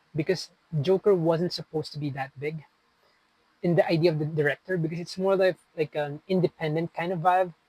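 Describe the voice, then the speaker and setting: The speech comes at a fairly quick pace with fairly even intonation. The sound is dry and close, with no echo. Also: man, high pitch for a man. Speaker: film vlogger. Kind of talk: casual monologue. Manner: casual, chatty.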